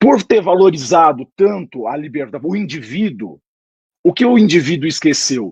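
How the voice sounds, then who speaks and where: A man's high voice at a fairly slow pace, with lively intonation. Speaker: political commentator. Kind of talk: political discussion. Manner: formal.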